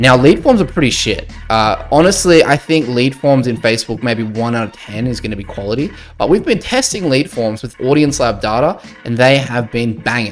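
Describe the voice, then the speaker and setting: Speaking at a moderate pace, a man has an Australian accent. His pitch is medium and his intonation is lively. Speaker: agency owner, business youtuber. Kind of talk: tutorial.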